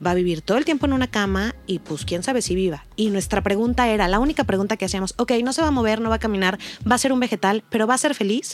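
A woman's voice, very fast, with lively intonation, on a very clean recording with a silent background. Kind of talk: personal testimony in casual chat. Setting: studio. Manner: emotional, voice breaking at times.

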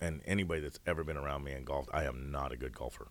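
A man's very deep, low voice with vocal fry at a very fast pace. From Washington State, US Pacific Northwest. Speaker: mayor and high school football coach. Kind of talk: casual chat.

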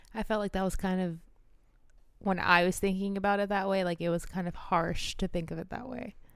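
With a plain, everyday voice, a woman speaks at a fairly quick pace and with fairly even intonation. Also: medium pitch for a woman. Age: 30s. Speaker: podcast co-host. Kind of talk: casual chat.

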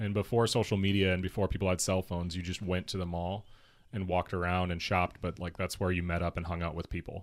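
The speech races at a very fast pace in a monotone, flat intonation. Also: man, very deep, low pitch for a man. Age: 20s. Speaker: skate shop owner. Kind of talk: casual chat.

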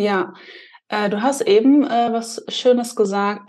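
A woman speaks fairly slowly with lively intonation. She has a normal speaking voice. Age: 30s. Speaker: podcast host. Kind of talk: casual chat.

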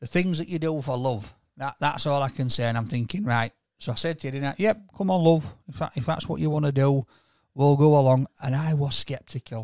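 In a very clean recording with a silent background, a man with a plain, everyday voice speaks at a fairly high pitch and fairly quick pace, with ordinary pitch variation. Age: 40s. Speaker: podcast co-host. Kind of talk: casual chat.

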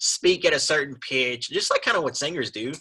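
A man speaks at a fairly quick pace in a fairly high, bright, sharp, raspy voice with a slightly husky edge and lively intonation.

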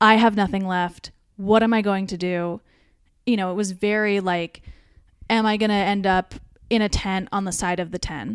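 Over a silent background in a very clean recording, a woman with a medium pitch speaks at a moderate pace with fairly even intonation and long, frequent pauses. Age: 30s. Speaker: comedian. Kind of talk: casual chat; testimony.

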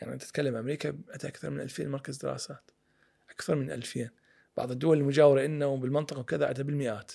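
At a very fast pace, a man talks with a dark, mellow tone, fairly high pitch and fairly even intonation. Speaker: political and economic analyst. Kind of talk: interview discussion.

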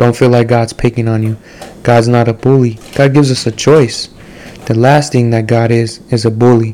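Amid noticeable background noise, a man speaks at a moderate pace with a monotone, flat intonation. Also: medium pitch for a man. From Mexican-American (Chicano) community, US. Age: 20s. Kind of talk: casual monologue with Bible storytelling. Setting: solo home recording. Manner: casual, with many fillers.

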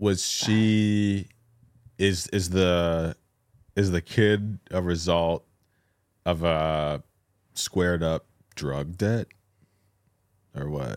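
A man speaks very slowly with a very deep, low pitch and ordinary pitch variation. Long, frequent pauses break his speech, and the sound is dry and close with no echo. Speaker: podcast co-host.

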